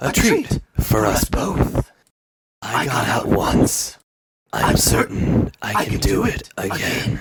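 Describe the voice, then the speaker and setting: A man performs in a put-on character voice at medium pitch. His delivery is very slow. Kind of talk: archaic formal speech. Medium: comedy sketch. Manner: cold, formal, menacing.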